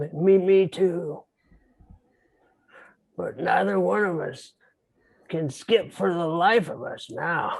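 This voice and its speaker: In a put-on character voice pitched high, a man speaks at a very slow pace with big swings in loudness and long, frequent pauses. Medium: stage play. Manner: hesitant, mild.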